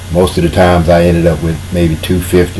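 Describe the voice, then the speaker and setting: Very fast and with a very deep, low pitch, a man talks amid noticeable background noise and audible room echo. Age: 60s. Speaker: political commentator. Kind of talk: monologue commentary. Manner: casual.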